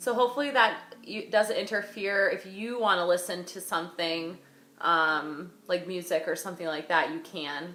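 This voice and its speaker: At a moderate pace and medium pitch, a woman talks with ordinary pitch variation and big swings in loudness, amid audible room echo and noticeable background noise. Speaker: yoga instructor. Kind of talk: yoga class instruction. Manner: carrying voice.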